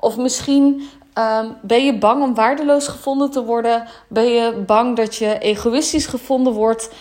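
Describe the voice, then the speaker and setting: A woman's high voice, fairly slow, with fairly even intonation. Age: 20s. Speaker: spiritual business mentor. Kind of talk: solo podcast monologue. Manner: hesitant, many filler words.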